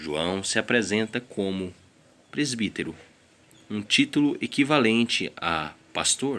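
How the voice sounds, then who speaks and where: A man is speaking. He has a non-native accent. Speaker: Bible reader. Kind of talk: reading aloud.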